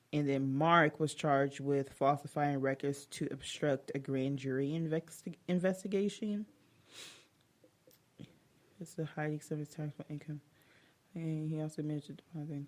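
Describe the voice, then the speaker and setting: A put-on character voice mumbles in a low-to-middle pitch with long, frequent pauses. The pace is moderate. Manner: mumbling while reading.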